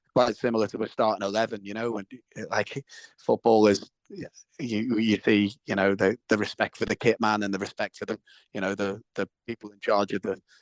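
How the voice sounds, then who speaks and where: A man with a Liverpool accent talks at a fairly quick pace in monotone, flat intonation, with big swings in loudness and a dry, close sound with no echo. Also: fairly low pitch for a man. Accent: Scouse. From Liverpool, England. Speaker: actor and musician. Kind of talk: interview. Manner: halting, with many repetitions.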